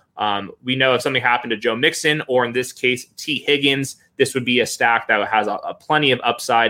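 A man speaks at a fairly quick pace. His medium pitch shows ordinary variation. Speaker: fantasy football analyst. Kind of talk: casual chat. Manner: fast.

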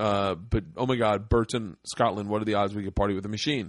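A man speaks with an unremarkable speaking voice at a fairly low pitch. His pitch variation is ordinary. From Florida. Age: 40s. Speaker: comedian and podcast host. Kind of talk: casual chat. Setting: studio.

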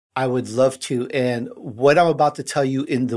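A man with a slight Chicago accent talks at a moderate pace with fairly even intonation. The recording is very clean, with a silent background. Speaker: podcast host and entrepreneur. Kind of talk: casual interview.

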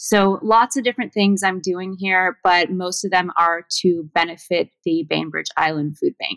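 Talking at a fairly slow pace with hardly any pauses, a woman with an American accent uses an ordinary speaking voice at medium pitch with ordinary pitch variation. The sound is dry and close, with no echo. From Southern California. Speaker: flower farmer and author. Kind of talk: interview.

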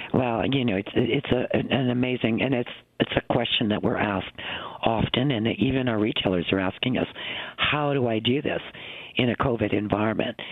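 Using a plain, everyday voice, a man speaks at medium pitch and a moderate pace with fairly even intonation and very even loudness. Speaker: retail industry executive. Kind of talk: radio interview.

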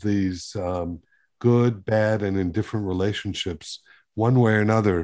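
A man speaks at a moderate pace with a fairly low pitch and a dark, mellow tone. His intonation stays fairly even over a quiet background. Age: 60s. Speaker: literary podcast host. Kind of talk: interview.

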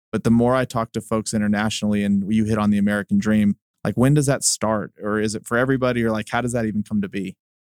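A man talks very fast in a flat, monotone voice with barely a pause, his pitch fairly low. The recording is very clean and dry, close with no echo and a silent background. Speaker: podcast host. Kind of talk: interview conversation. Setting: studio.

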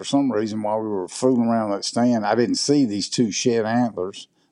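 A man with a Mississippi accent, medium-pitched and dark, mellow in tone, at a moderate pace with fairly even intonation against a quiet background. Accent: Mississippi Southern. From southwest Mississippi, US South. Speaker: hunting video producer. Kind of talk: casual interview.

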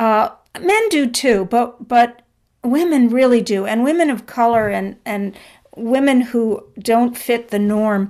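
A woman talks at a fairly slow pace in an unremarkable speaking voice. Her pitch is fairly high with ordinary variation, and the recording is very clean over a silent background. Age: 60s. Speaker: author. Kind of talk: interview.

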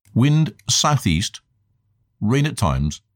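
A man with a British accent is heard in a very clean recording against a silent background, the sound dry and close with no echo. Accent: BBC-style British English. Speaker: eyewitness. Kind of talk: interview. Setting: outdoors.

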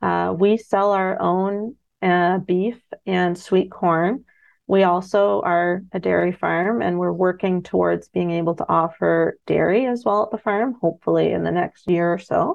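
With a Canadian accent, a woman speaks at a fairly slow pace. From Ontario, Canada. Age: 30s. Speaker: farmer. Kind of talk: radio interview.

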